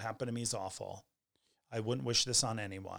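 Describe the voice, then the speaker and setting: A man with an American accent, medium pitch and fairly even intonation at a fairly quick pace. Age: 40s. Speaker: podcast host and flight attendant. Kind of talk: casual monologue.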